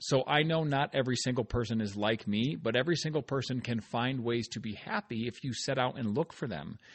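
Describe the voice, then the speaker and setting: The speaker is a man. He moves at a fairly quick pace, his pitch shifting in an ordinary way. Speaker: podcast host, author and speaker. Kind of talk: casual podcast monologue. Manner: upbeat, energetic.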